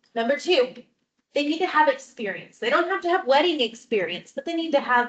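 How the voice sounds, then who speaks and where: Her pitch high, a woman speaks at a fairly quick pace. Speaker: wedding photographer. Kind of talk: talk to audience.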